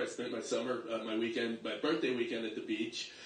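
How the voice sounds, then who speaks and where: There is noticeable background noise and audible room echo. A man speaks with an American accent. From Staten Island, New York. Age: 60s. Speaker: stand-up comedian. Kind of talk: stand-up.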